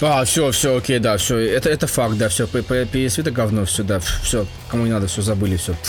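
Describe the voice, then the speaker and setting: Over music in the background, a man talks at a moderate pace and medium pitch with ordinary pitch variation and very even loudness. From Russia. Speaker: gaming podcast co-host. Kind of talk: casual chat. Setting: remote recording, not in one room.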